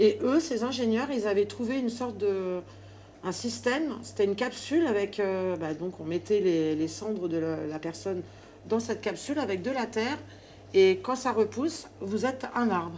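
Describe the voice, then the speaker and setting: With noticeable background noise behind her, a woman speaks at a moderate pace. Her pitch is medium and her intonation lively. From Paris suburbs. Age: 50s. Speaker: hairdresser. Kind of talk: casual chat. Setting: client's home. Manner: hesitant, many fillers.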